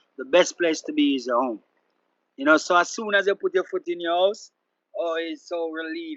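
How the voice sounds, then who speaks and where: A man with a Jamaican accent speaks at a high pitch. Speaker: reggae artist. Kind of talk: interview.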